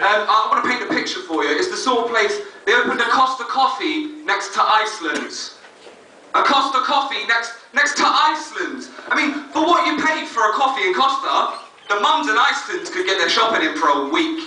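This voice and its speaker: A man talks at a fairly quick clip in a raised, projected voice with an extremely high pitch and very wide pitch swings. Audible room echo and noticeable background noise surround him. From North London. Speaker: stand-up comedian. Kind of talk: stand-up. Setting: stage with audience. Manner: hesitant, many ums.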